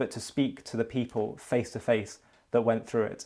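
In a very clean recording with a silent background, a man uses a normal speaking voice, speaking at a moderate pace with fairly even intonation. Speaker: interviewer. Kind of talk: interview.

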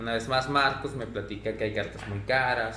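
Audible room echo follows a man speaking at a moderate pace with ordinary pitch variation. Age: 30s. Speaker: card shop owner. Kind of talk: casual chat.

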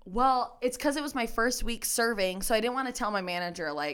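With an unremarkable speaking voice, a woman of medium pitch talks at a fairly quick pace with lively intonation in a very clean recording against a silent background. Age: 20s. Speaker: restaurant server. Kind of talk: casual chat.

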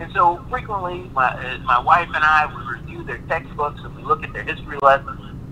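A man speaks at a fairly high pitch and a fairly quick pace with hardly any pauses. His pitch varies in an ordinary way, his loudness swings widely, and there is noticeable background noise. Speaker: attorney. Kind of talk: panel discussion.

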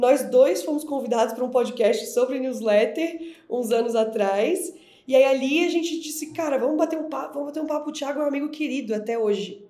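A woman's high voice at a fairly quick pace, with ordinary pitch variation, hardly any pauses, and audible room echo. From Florianópolis, southern Brazil. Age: 30s. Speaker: brand strategist. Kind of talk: podcast interview.

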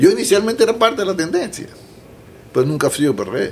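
This man's voice shows very wide pitch swings. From Panama City, Panama. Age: 60s. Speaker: politician. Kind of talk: interview.

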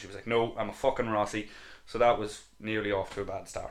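A man with a Louth accent, medium pitch and a fairly quick pace. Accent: Irish, Louth. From Ireland, Dundalk. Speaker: podcast co-host. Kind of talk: casual chat.

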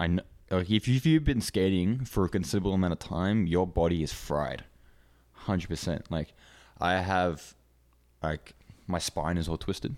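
A man speaks with a very deep, low pitch and long, frequent pauses. The recording is very clean, with a silent background. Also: ordinary pitch variation, moderate pace. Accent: Australian. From Hong Kong, international school English. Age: 20s. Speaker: downhill skateboarder. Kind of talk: casual chat.

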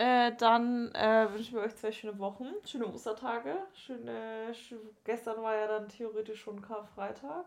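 A woman talks at a fairly slow pace with fairly even intonation and a fairly high pitch. Hers is a normal speaking voice, with big swings in loudness. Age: 20s. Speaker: podcast co-host, university student. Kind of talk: casual chat.

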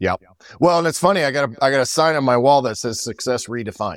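A man with a plain, everyday voice of medium pitch talks at a fairly quick pace with ordinary pitch variation. The very clean recording has a silent background and a dry, close sound with no echo. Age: 50s. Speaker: entrepreneur. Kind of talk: casual chat.

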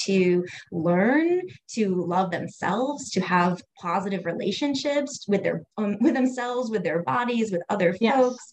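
Using a plain, everyday voice, a woman speaks at a moderate pace and medium pitch with lively intonation. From US Northeast, Cape Cod area. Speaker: educator and LGBTQ equality consultant. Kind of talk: casual interview chat.

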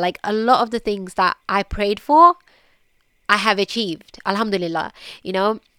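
A woman with a British accent speaks at a moderate pace in a medium pitch, her bright, sharp tone showing ordinary pitch variation in a very clean, dry, close recording with a silent background and no echo. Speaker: podcast host. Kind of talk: personal reflective monologue.

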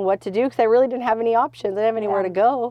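A woman speaks with a Californian accent. Her intonation is fairly even. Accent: Californian American English. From California (Stockton). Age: 40s. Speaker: church member, recovered addict. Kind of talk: testimony.

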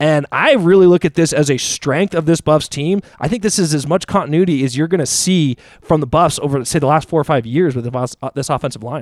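A man's normal speaking voice, fairly high in pitch with ordinary pitch variation, at a fairly quick pace with hardly any pauses, in a very clean recording with a silent background and a dry, close sound with no echo. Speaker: sports podcast co-host. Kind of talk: casual sports chat.

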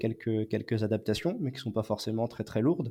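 Fairly even intonation from a man with a medium pitch and a dark, mellow tone. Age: 20s. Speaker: naval base works supervisor with dwarfism. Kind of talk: testimony. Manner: halting, many repeated words and hesitations.

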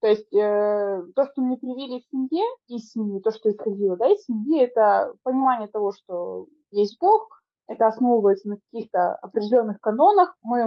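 A woman has an ordinary speaking voice with a fairly high pitch. She moves at a moderate pace with lively intonation. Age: 30s. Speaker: podcast co-host. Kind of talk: casual chat.

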